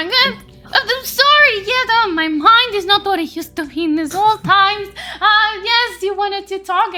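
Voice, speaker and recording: Over clear music in the background, a woman uses a put-on character voice at an extremely high pitch, with lively intonation and a moderate pace. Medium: actual play. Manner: grumbling, chatty.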